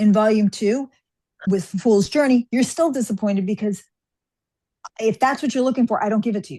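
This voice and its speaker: Against a quiet background, a woman with an American accent speaks at a fairly quick pace yet with long, frequent pauses, her fairly high voice somewhat breathy and dark and mellow in tone, with ordinary pitch variation and big swings in loudness. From New York. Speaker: fantasy author. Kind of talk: interview.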